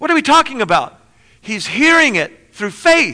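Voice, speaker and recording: Lively intonation marks a man's raised, projected voice, bright and sharp in tone at a moderate pace. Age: 40s. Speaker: pastor. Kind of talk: sermon.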